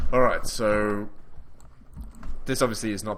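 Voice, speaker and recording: An Australian accent with ordinary pitch variation. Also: man. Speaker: gaming YouTuber. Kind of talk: casual let's play commentary.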